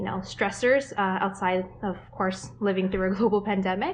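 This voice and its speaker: Speaking with a Canadian accent, a woman holds a medium pitch and moderate pace in a monotone, flat delivery. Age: 20s. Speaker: pregnant mother, government consultant. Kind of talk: interview.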